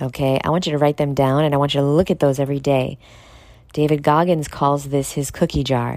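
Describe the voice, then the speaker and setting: A woman speaks at a fairly quick pace in a very deep, low voice, her loudness very even and her intonation monotone and flat. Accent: American. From New York City. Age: 30s. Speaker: podcaster and vegan influencer. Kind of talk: casual solo monologue.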